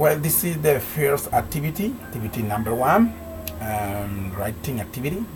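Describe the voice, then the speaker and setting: A man speaks with a Colombian accent over noticeable background noise. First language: Spanish. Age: 40s. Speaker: language student. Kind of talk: homework speaking presentation. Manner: halting.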